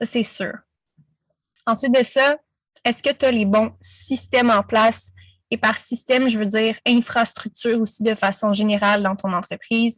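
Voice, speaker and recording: Delivered at a fairly slow pace with long, frequent pauses, the somewhat breathy voice keeps a fairly even intonation in a dry, close sound with no echo. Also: woman, fairly high pitch for a woman. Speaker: business coach. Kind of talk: interview. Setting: podcast.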